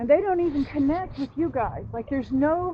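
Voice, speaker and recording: An animated tone marks a woman speaking at a moderate pace with an American accent. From Louisiana. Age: 60s. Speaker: person living in an RV. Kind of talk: casual chat.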